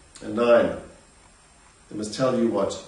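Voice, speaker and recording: A man is heard over noticeable background noise. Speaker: trading educator. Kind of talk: instructional talk.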